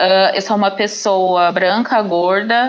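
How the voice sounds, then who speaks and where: Very slow delivery with fairly even intonation. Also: woman. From Paraná, southern Brazil. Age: 20s. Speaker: podcast guest, teacher. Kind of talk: podcast interview.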